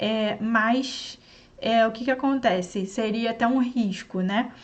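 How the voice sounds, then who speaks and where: Speaking with a Brazilian accent, a woman has a fairly high pitch and a somewhat breathy voice. Her intonation stays fairly even, and audible room echo can be heard. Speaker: online science teacher. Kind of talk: sales pitch; lecture. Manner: slow.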